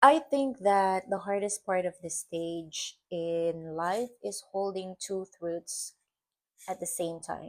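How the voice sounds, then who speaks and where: Spoken at a very slow pace with a non-native accent, the voice shows ordinary pitch variation. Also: woman, medium pitch for a woman. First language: not English. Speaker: vlogger. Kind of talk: personal reflection vlog. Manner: hesitant, with fillers and repetitions; slow, thoughtful.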